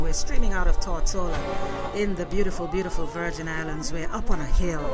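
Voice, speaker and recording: A woman talks while loud music fills the background. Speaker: radio host. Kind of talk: radio interview. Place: studio.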